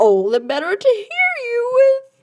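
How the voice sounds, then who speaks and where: Squeaky and extremely high, this put-on character voice moves at a fairly slow pace with very wide pitch swings. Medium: read story. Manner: sly, falsely sweet.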